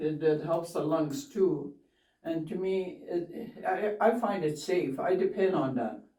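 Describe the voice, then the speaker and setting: A woman at a very slow pace amid audible room echo. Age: 70s. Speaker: community elder. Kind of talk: interview.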